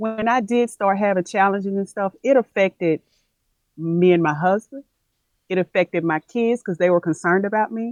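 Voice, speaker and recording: A woman speaks at a moderate pace with a Southern US accent, her pitch medium and its variation ordinary. Music plays in the background, and the sound is dry and close with no echo. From US South, Tennessee. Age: 50s. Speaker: plant-based health coach. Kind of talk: interview conversation. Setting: live video stream.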